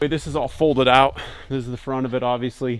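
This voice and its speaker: The man's intonation is fairly even throughout. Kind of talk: casual vlog walkthrough. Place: open country. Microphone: phone near.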